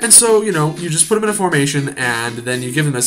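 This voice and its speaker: Very fast speech from a man, fairly high in pitch with very wide pitch swings, amid noticeable background noise. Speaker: gaming video creator. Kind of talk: let's play commentary. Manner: halting, many fillers.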